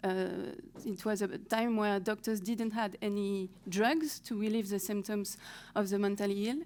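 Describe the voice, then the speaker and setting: A French accent at a moderate pace with ordinary pitch variation. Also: woman, medium pitch for a woman. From France. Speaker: historian researcher. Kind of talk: conference talk. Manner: halting, with many fillers.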